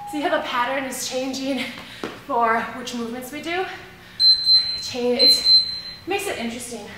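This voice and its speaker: A woman talks at a moderate pace with ordinary pitch variation, amid loud background noise and audible room echo. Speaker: fitness instructor. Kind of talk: workout instruction. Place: gym.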